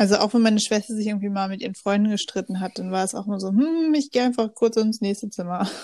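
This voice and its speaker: Speaking at a very fast pace with hardly any pauses, a woman uses a medium pitch, ordinary pitch variation and a somewhat breathy, dark, mellow tone. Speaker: podcast co-host, student. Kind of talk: casual chat.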